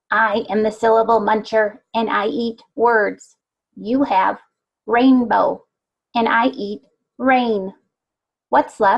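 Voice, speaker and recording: A female-sounding voice uses a put-on character voice at a fairly high pitch. The pace is very slow, with long, frequent pauses. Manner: funny, playful.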